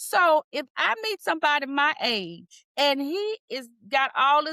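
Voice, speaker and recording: A woman projects a raised voice with a bright, sharp tone and lively intonation, recorded with a dry, close sound and no echo. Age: 60s. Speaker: podcast host and retirement planning coach. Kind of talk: casual chat.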